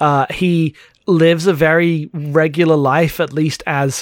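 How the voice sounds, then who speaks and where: A man speaks in a fairly high pitch. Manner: loud, energetic.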